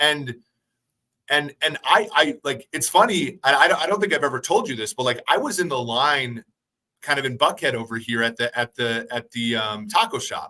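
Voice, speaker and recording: Loud and bright with a sharp tone, the voice swings very widely in pitch at a moderate pace. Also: man, fairly high pitch for a man, dry, close sound with no echo. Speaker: sports analyst podcast host. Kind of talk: casual chat. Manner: halting, many repeated words.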